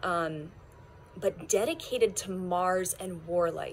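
There is light background noise as a woman speaks. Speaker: card reader. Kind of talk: casual tarot reading chat. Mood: warm, smiling, playful. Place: garden.

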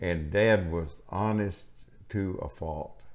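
A man with a Texan accent, a very deep, low pitch and fairly even intonation. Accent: Southern US, Texan. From Gulf Coast of Texas; Texas. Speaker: retired farmer; elderly storyteller. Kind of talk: interview answer. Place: home room.

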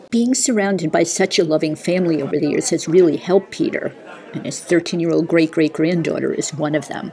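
Noticeable background noise surrounds a woman speaking at a fairly quick pace. Her pitch is fairly low, with ordinary pitch variation. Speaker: TV news reporter. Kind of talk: TV news report narration.

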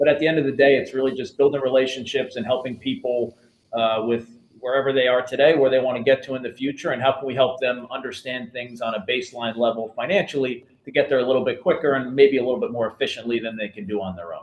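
A man with an American accent talks at a very fast pace, with hardly any pauses. His medium pitch shows ordinary variation, and there is audible room echo. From New Jersey. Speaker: financial planner; guest. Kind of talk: interview.

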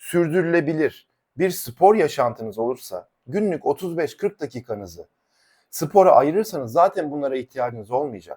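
In a very clean recording with a silent background, a man with an animated tone moves at a moderate pace through very wide pitch swings. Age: 40s. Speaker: fitness coach. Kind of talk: YouTube monologue.

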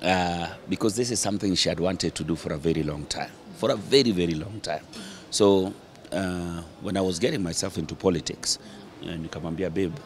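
With light background noise, a man with a very deep, low pitch speaks at a moderate pace with ordinary pitch variation. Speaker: interviewee. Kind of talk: interview answer. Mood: relaxed, jovial. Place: cafe. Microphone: handheld.

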